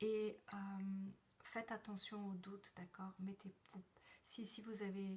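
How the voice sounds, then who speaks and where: A soft-spoken woman talks at a very slow pace in a somewhat breathy voice of medium pitch. Her intonation is monotone and flat, broken by long, frequent pauses. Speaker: numerologist and personal development coach. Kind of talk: live stream numerology forecast. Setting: live video stream from a temporary place. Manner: halting.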